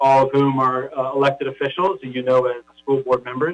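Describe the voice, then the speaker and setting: This is an ordinary speaking voice. A man talks with an American accent and ordinary pitch variation. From Los Angeles. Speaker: school board executive officer. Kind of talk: public meeting presentation. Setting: online video meeting.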